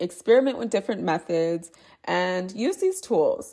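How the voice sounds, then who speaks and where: A woman speaks at a moderate pace. Vocal fry is present in her voice. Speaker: blogger and podcast host. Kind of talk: reading aloud.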